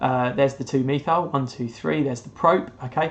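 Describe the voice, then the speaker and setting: Someone talks with a British accent. The pace is fairly quick. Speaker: chemistry teacher. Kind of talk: recorded lesson. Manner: fast.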